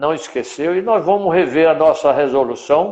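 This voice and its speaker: A man's voice with ordinary pitch variation. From Brazilian Northeast, Rio Grande do Norte. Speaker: veterinary council president. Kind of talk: live stream interview. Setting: online live stream.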